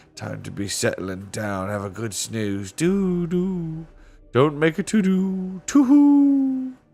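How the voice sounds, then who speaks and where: A man's high, put-on character voice at a fairly slow pace, with music in the background. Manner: drawn-out, crooning.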